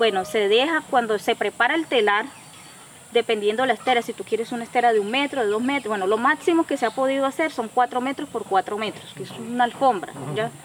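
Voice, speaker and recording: There is noticeable background noise. Over it, a woman talks very fast in a fairly high pitch with ordinary pitch variation. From Colombia, Caribbean region (Cesar). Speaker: artisan and community association leader. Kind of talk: testimony.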